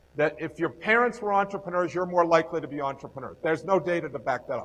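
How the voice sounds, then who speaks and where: A man's high-pitched voice with a New York accent and ordinary pitch variation. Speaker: entrepreneurship professor. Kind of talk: lecture. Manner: fast.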